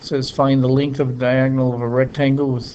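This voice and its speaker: At a moderate pace, a man speaks in a plain, everyday voice at a medium pitch. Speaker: math teacher. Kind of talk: tutorial.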